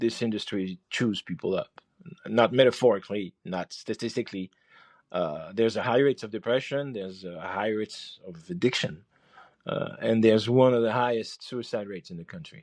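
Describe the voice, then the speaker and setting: Speaking with a French accent, a man at medium pitch shows ordinary pitch variation and big swings in loudness. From France. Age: 50s. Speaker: chef and podcast host. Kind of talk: podcast monologue. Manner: halting, many fillers and repeats.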